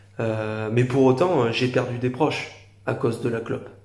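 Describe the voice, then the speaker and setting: A man speaks with monotone, flat intonation. Audible room echo is present. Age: 20s. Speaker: YouTuber. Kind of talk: opinion monologue to camera. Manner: halting, many fillers.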